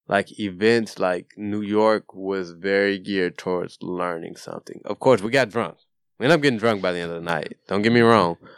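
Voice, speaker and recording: A man with an American accent and an ordinary speaking voice, fairly low in pitch with ordinary pitch variation, at a moderate pace in a very clean recording with a silent background. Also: dry, close sound with no echo. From Nashville, Tennessee (US South). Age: 20s. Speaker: photographer and law graduate. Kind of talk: casual chat.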